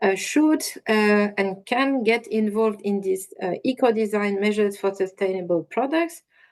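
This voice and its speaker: A woman talks in a fairly high voice, her pitch varying in an ordinary way as she keeps a moderate pace. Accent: French. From France. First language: French. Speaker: industry association policy manager. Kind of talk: webinar presentation. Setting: online webinar.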